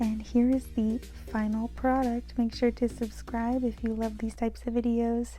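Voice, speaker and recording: Music plays in the background as a soft-spoken woman talks at a moderate pace. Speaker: bullet journal YouTuber. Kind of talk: voiceover tutorial. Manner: monotone.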